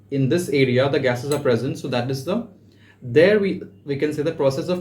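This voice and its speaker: A man speaks at a moderate pace with a fairly high, somewhat breathy voice and ordinary pitch variation. Room echo is audible. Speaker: personal tutor. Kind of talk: tutorial. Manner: halting, frequent fillers.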